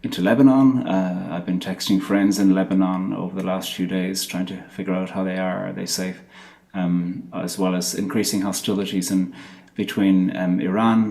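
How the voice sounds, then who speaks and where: A man speaks at a very deep, low pitch in a dark, mellow tone, with fairly even intonation at a moderate pace. Audible room echo surrounds the voice. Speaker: poet and theologian. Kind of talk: lecture. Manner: halting.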